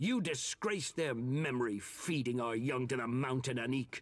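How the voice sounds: The voice reads naturally. Pitch moves in an ordinary way.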